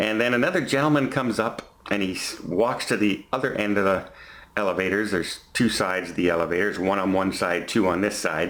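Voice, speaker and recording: A man with a Canadian accent speaks at a fairly quick pace and fairly low pitch. His pitch varies in an ordinary way, and room echo is audible. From Canada. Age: 50s. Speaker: vlogger. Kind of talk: storytelling vlog. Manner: halting, self-correcting.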